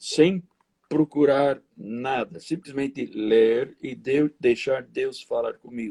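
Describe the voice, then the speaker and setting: A man speaks very slowly in a dark, mellow tone, with a dry, close sound and no echo. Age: 70s. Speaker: pastor. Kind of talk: interview. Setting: live stream.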